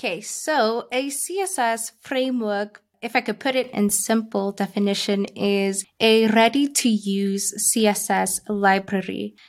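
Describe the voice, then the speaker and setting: A woman with a non-native accent speaks very slowly, her fairly high voice moving with ordinary pitch variation. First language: not English. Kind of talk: interview.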